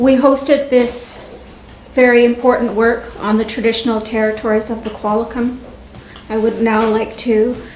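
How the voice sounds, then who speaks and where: A woman with a Canadian accent speaks at a moderate pace in a fairly high, flat monotone. Light background noise and audible room echo are present. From Canada. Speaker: vice principal; presenter. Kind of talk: presentation. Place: meeting room. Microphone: podium.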